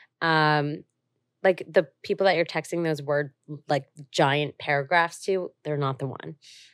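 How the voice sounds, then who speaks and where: A woman with a New Jersey accent speaks at a fairly slow pace with a very deep, low pitch and fairly even intonation. The recording is very clean, dry and close with no echo and a silent background. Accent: New Jersey American. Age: 20s. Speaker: entrepreneur. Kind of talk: casual chat.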